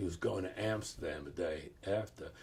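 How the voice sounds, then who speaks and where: A man speaks at a moderate pace in a dark, mellow tone that is somewhat breathy. His intonation is lively. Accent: American. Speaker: professor and author. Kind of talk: interview storytelling. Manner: hesitant, many fillers.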